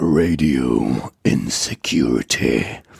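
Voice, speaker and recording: A man's growling, put-on character voice, very deep and low in pitch. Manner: announcer-style, projected.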